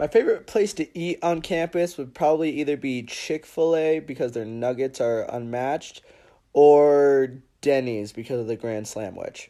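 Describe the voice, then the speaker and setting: An upbeat man's voice, fairly high in pitch, at a moderate pace with ordinary pitch variation. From US Pacific Northwest, Seattle. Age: 20s. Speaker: university student. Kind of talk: casual Q&A vlog. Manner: casual, upbeat.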